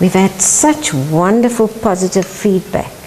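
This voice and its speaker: Over noticeable background noise, a woman with a South African accent speaks fairly low with lively intonation. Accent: South African (Afrikaans). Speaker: home cook, housewife. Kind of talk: cooking lesson to camera.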